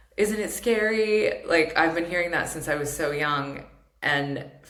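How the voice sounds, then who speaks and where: An American accent comes through. There is noticeable background noise and audible room echo. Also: woman. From England, Surrey (American parents). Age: 40s. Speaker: podcast host, therapist and coach. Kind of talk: solo podcast monologue. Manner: casual, filler-heavy with self-corrections.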